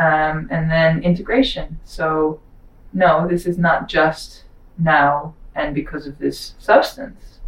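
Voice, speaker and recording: Speaking at a very slow pace, a woman with a Dutch accent has a fairly low pitch. Her voice is somewhat breathy, with ordinary pitch variation. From Netherlands. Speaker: psychedelic guide. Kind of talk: casual chat.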